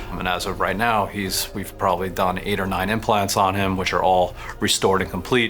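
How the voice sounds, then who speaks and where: A man with a very deep, low voice talks very fast in a monotone, flat intonation while music plays in the background. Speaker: oral surgeon. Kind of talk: interview answer.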